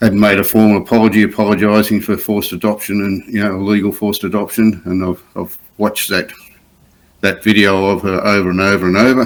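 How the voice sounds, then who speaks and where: A man with an Australian accent talks at a very fast pace in a fairly low pitch, his intonation monotone and flat. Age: 60s. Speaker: adoptee advocate. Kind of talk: interview testimony. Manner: halting.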